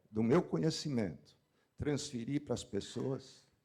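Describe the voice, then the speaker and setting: A man's dark, mellow voice with vocal fry, at a fairly slow pace. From São Paulo, Brazil. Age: 70s. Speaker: meat industry executive. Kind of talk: panel discussion.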